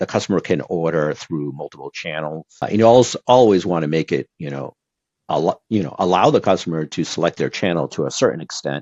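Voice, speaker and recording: A man's very deep, low voice moves with ordinary pitch variation. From Brazil. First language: Portuguese. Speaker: e-commerce executive. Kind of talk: podcast interview. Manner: conversational with frequent fillers.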